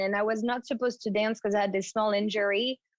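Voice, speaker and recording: Speaking with a French accent, a woman talks at a fairly quick pace and a fairly high pitch. The sound is dry and close, with no echo. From France, Paris suburbs. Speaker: fitness trainer and former ballerina. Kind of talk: interview storytelling.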